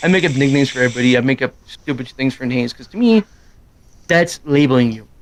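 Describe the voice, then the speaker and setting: A man talks at a fairly quick pace with a medium pitch and ordinary pitch variation. There is noticeable background noise. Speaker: gaming streamer. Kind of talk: casual chat. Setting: live stream. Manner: fast; loud.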